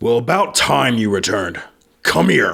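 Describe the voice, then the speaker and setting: A man does a loud, booming put-on character voice at a medium pitch and a moderate pace. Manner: commanding, imperious.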